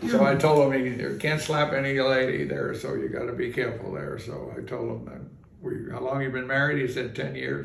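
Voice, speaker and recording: A man with an American accent speaks at a fairly quick pace. Audible room echo and noticeable background noise are present. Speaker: retired bar owner and process server. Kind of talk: storytelling in casual interview. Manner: halting, many fillers.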